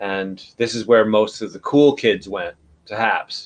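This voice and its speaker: A man with a New York accent, medium pitch and fairly even intonation. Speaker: livestream host. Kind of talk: casual chat. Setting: live video broadcast.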